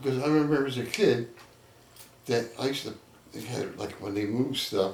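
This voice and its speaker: A man with a New Jersey accent talks at a moderate pace in a medium pitch. Noticeable background noise and audible room echo fill the recording. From Trenton, New Jersey. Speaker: local elder interviewee. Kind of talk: oral history interview. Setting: neighbor's home.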